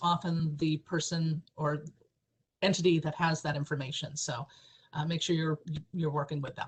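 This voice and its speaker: A woman's voice comes across somewhat breathy and fairly low in pitch. She keeps a fairly even intonation. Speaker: government ethics official presenting training. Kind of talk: training webinar presentation. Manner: fast.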